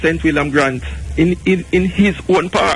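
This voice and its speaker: A man, with noticeable background noise. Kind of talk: casual political discussion. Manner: halting, repeats words.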